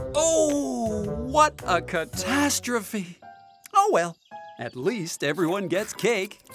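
Very slow speech with music in the background. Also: man. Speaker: narrator. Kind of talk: preschool cartoon narration. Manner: good-natured, friendly.

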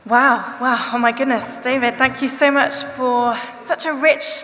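A woman's fairly slow voice with fairly even intonation, over faint music in the background. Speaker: event host. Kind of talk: event presenting. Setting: stage with audience. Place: hall. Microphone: podium.

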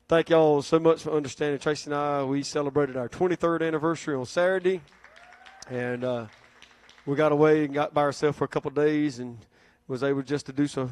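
Over crowd noise in the background, a man speaks at a very fast pace with fairly even intonation, in a dry sound with no echo. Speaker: pastor giving announcements. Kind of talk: sermon. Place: church. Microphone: handheld.

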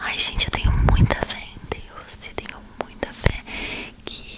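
Amid noticeable background noise, a woman whispers. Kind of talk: ASMR whispered talk to camera. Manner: whispered.

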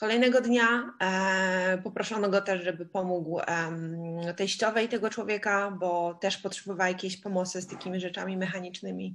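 A woman's plain, everyday voice at a medium pitch, with fairly even intonation, a moderate pace and hardly any pauses, over a quiet background. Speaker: interpreter. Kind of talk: live interpretation.

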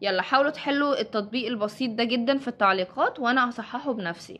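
A woman speaks with an Egyptian accent in a high voice, her pitch moving in an ordinary way. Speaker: Korean language teacher. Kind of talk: tutorial.

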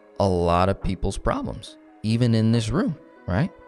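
Over faint music in the background, a man with a fairly low pitch is heard in a dry sound with no echo. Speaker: finance teacher. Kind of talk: lecture. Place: meeting room.

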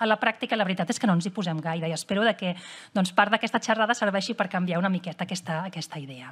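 Over a quiet background, a somewhat breathy woman talks at a very fast pace. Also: ordinary pitch variation. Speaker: cardiologist. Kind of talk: lecture. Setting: stage with audience. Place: hall.

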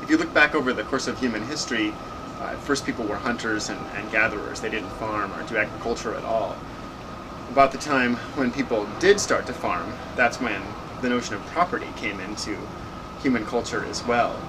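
Over noticeable background noise, a man talks at a fairly quick pace with ordinary pitch variation. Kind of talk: interview answer. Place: garden. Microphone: camera far.

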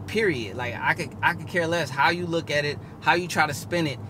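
Noticeable background noise surrounds the recording. A man speaks at a moderate pace. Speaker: car owner vlogger. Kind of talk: casual vlog chat. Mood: frustrated, emphatic. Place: car.

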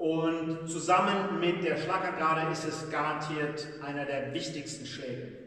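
There is strong room echo as a man speaks at a moderate pace. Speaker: boxing coach. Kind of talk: tutorial. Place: gym. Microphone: camera far.

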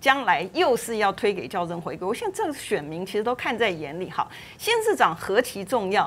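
A woman with a fairly high pitch speaks at a moderate pace. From Taiwan. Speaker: legislator; TV panel commentator. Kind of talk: political talk show panel. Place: studio. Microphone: lapel.

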